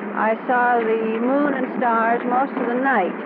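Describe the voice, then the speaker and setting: Background noise is clearly noticeable. Through it, a woman talks. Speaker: aviator. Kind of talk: newsreel interview answer. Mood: calm, pleasant. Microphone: old recording.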